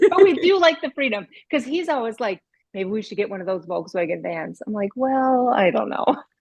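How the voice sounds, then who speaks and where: Her pitch fairly high, a woman talks at a fairly quick pace with very wide pitch swings. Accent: Minnesotan. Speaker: author and speaker. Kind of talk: casual chat.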